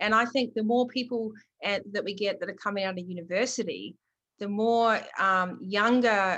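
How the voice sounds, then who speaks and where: A woman with a fairly high voice talks at a moderate pace, her pitch varying in an ordinary way. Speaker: author and coach. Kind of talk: author interview, conversational. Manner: energetic, animated.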